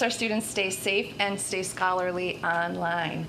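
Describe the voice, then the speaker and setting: Against noticeable background noise and audible room echo, a woman talks with fairly even intonation. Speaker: school principal. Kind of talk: report at board meeting.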